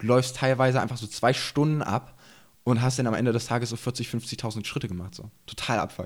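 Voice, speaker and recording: A somewhat breathy man at a fairly quick pace. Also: medium pitch for a man, fairly even intonation. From eastern Germany, Burg near Magdeburg, Saxony-Anhalt. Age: 20s. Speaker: enduro rider and YouTuber. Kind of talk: casual chat. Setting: studio.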